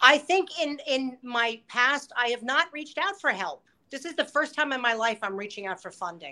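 Raised and projected, a woman's high-pitched voice has a bright, sharp tone, lively intonation, and a moderate pace. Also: very clean recording, silent background. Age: 50s. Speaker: cabaret performer and booking manager. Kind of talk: casual interview chat.

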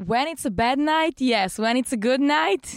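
Someone with a Bulgarian accent speaks at a fairly slow pace with lively intonation, recorded dry and close with no echo. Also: woman. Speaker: stripper and bartender. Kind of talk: casual chat. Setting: studio.

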